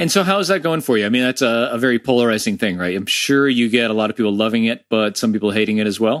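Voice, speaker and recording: Spoken with an American accent, the delivery is very fast with hardly any pauses and lively intonation. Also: man, medium pitch for a man. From Florida, US. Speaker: podcast host. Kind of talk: casual interview.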